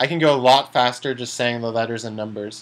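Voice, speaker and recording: Here a man talks with ordinary pitch variation. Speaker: chess streamer. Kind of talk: live commentary while playing chess. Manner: slow, deliberate voice commands.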